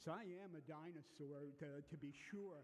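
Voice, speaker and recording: Amid noticeable background noise and audible room echo, a man with a fairly high pitch speaks with ordinary pitch variation. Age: 70s. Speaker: physician and lipid lecturer. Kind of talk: lecture. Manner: casual, hesitant with frequent fillers.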